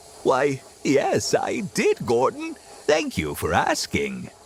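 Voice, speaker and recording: A man's put-on character voice at a very slow pace. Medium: audio drama. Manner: polite, gentle.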